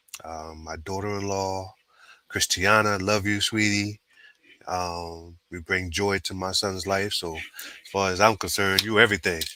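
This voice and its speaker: At a fairly slow pace, a man with a fairly low pitch and a bright, sharp tone speaks in a monotone, flat intonation, with big swings in loudness. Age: 60s. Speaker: sports podcast co-host. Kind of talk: casual chat. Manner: halting.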